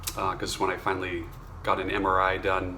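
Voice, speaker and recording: A man talks while noticeable background noise comes through. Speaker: vocal coach. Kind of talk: casual talk to camera. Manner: hesitant, many filler words.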